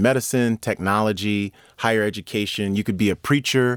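Over a silent background in a very clean, dry, close recording with no echo, a man with an American accent speaks at a moderate pace in a fairly low pitch, an unremarkable speaking voice. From US Northeast, New York. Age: 40s. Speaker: professor, podcast host. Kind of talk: interview. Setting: studio.

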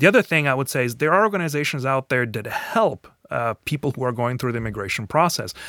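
Speaking very fast with hardly any pauses, a man with a slight non-native accent uses a medium pitch, lively intonation and a bright, sharp tone, in a dry, close sound with no echo. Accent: slight foreign. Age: 40s. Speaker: professor and new citizen. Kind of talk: interview.

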